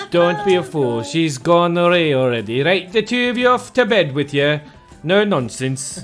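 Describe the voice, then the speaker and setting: Over music in the background, a man uses a gruff, put-on character voice pitched high, with very wide pitch swings. He keeps a moderate pace. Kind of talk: scolding, commanding. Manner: polite but gruff.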